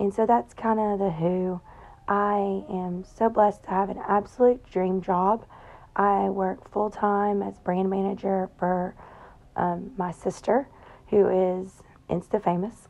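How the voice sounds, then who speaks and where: In a Southern US accent, a woman speaks at a fairly slow pace and medium pitch with fairly even intonation. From Tennessee. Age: 30s. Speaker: podcast host. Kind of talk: casual monologue. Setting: in bed at home.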